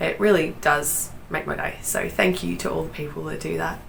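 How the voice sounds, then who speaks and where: There is noticeable background noise and audible room echo as a woman talks with an Australian accent. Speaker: knitting podcaster. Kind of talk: casual chat.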